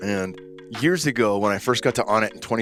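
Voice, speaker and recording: A man's fairly low voice hurries at a very fast pace with music in the background. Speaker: podcast host. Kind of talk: podcast interview.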